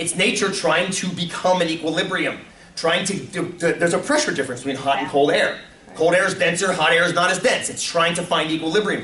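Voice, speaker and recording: An animated tone at a fairly quick pace, with noticeable background noise and audible room echo. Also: man, high pitch for a man. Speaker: teacher. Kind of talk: classroom lecture. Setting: classroom with students.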